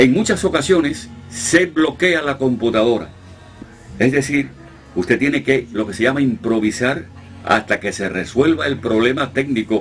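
A man's medium-pitched voice with lively intonation at a fairly slow pace, music playing in the background. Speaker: radio announcer. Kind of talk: interview answer, casual talk about his career.

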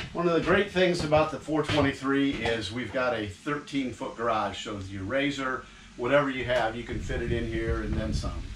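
Barely pausing, a man talks with ordinary pitch variation over noticeable background noise. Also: moderate pace. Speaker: RV dealer salesman. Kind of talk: product walkthrough presentation.

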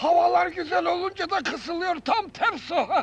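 A man puts on a hoarse character voice and speaks at a fairly slow pace. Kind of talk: 1970s comic radio acting. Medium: comedy sketch. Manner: cheeky, street-slangy.

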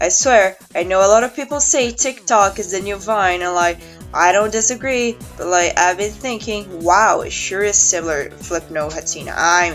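Music plays in the background as a woman of medium pitch speaks at a moderate pace with ordinary pitch variation. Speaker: hobby animator. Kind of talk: casual talk to camera.

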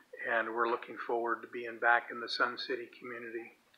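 Loud background noise is present. Through it, a man talks. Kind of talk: casual video message. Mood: warm, relaxed. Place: garden. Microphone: phone near.

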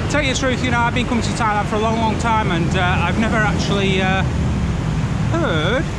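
There is no echo at all, just a dry sound. Background noise comes through loudly. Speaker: walking tour vlogger. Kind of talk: casual vlog chat. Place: street. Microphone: phone near.

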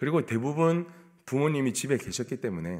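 A man speaks at a fairly quick pace against a quiet background. His pitch swings very widely. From South Korea, Busan; South Korea. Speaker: pastor. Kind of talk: sermon. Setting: church. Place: church. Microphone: podium.

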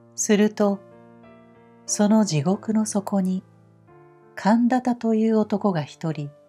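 A woman at a very slow pace with long, frequent pauses, a gentle tone, and music in the background. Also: medium pitch for a woman, ordinary pitch variation. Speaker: narrator. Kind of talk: sleep story reading. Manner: slow, gentle.

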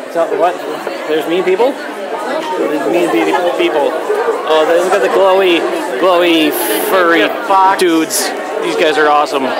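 A man talks at a fairly slow pace, leaving long, frequent pauses. Crowd noise can be heard behind him. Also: ordinary pitch variation. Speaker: convention vlogger. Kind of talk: casual vlog chat. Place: hall. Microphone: phone near.

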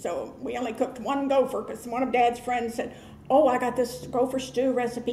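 A high-pitched woman with an American accent, with audible room echo and light background noise. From Florida, Hernando County. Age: 70s. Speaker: oral history interviewee. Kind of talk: interview answer. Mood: warm, nostalgic.

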